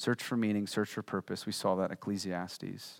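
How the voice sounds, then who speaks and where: A man with an American accent speaks at a moderate pace in a fairly low pitch. The sound is dry and close with no echo, and the recording is very clean with a silent background. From Virginia, US. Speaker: pastor. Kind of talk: sermon. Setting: church. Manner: animated.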